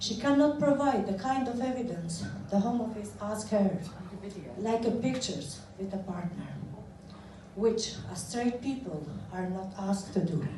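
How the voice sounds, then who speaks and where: A woman with an Albanian accent speaks at a medium pitch and a moderate pace, with ordinary pitch variation and long, frequent pauses. Room echo is audible, and so is noticeable background noise. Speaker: asylum seeker advocate. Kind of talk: prepared speech. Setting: parliament event with audience. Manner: formal.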